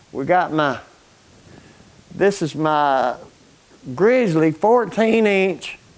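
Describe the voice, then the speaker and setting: Speaking in an Alabama accent, a man with a high pitch goes at a very slow pace with long, frequent pauses and lively intonation. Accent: Southern US (Alabama). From Alabama, US South. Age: 60s. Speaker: retired construction worker and coal miner, DIY YouTuber. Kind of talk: casual shop tour vlog. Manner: halting, many fillers and repeats.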